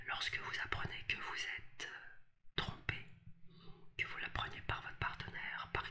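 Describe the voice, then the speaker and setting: A woman whispers at a fairly slow pace. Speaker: relationship coach. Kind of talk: advice talk to camera. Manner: soft, hushed ASMR speaking voice. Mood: calm, reflective. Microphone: webcam.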